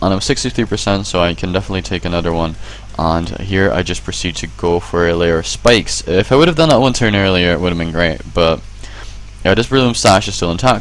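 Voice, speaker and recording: Noticeable background noise runs under a man talking at a very fast pace. His very deep, low voice swings very widely in pitch. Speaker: gaming video commentator. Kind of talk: game replay commentary.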